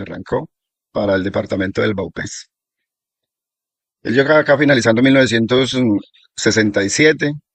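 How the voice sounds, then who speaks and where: Speaking fairly quickly, a man keeps his pitch variation ordinary. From Colombia, Risaralda; raised in Guaviare. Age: 60s. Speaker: settler recounting local history. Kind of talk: oral history testimony.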